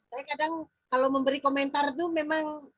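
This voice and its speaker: A woman speaks at a moderate pace in a high pitch. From Central Kalimantan, Indonesia (Dayak Maanyan). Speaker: teacher mentor. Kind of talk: feedback discussion.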